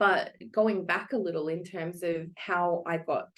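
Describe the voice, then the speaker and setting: A woman speaks with an Australian accent at a fairly low pitch. Her intonation stays fairly even. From Australia, Melbourne. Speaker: psychologist and coach. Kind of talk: interview podcast.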